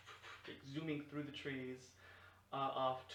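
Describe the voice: What we hear is plain reading aloud.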